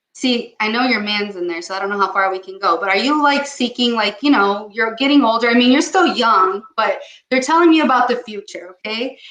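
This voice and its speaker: Fairly high in pitch, a woman speaks fairly quickly with hardly any pauses, an animated tone and lively intonation. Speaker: psychic medium. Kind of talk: psychic reading. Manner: fast.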